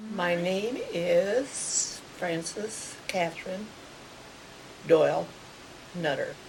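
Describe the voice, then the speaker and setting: A woman with a Midwestern US accent speaks at a very slow pace and a medium pitch, leaving long, frequent pauses, with audible room echo and noticeable background noise. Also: ordinary pitch variation. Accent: rural Midwestern American. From US Midwest, rural Kansas. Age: 80s+. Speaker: elderly woman recounting her life. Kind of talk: oral history interview.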